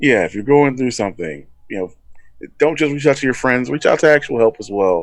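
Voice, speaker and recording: This man has an unremarkable speaking voice at a medium pitch. He talks at a fairly quick pace with lively intonation. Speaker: podcast guest. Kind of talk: casual chat.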